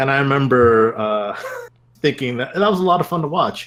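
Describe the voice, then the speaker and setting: Talking fairly quickly, a man with a Canadian accent uses lively intonation at a medium pitch. Noticeable background noise is present. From Canada. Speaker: speedrunner or programmer. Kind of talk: casual interview.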